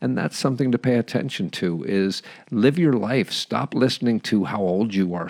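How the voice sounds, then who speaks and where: A man's unremarkable speaking voice with ordinary pitch variation and a fairly quick pace, recorded very cleanly against a silent background, the sound dry and close with no echo. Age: 50s. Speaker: podcast host. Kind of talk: monologue.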